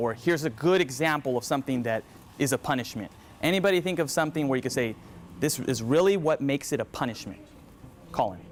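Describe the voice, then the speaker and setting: This man speaks at a very fast pace. His intonation is lively. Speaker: teacher trainer / presenter. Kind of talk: workshop presentation. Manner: animated.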